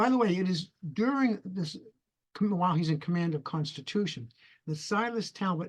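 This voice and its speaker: A man with a New England accent speaks at a high pitch and moderate pace, with lively intonation. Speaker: retired history professor. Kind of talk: interview. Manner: halting.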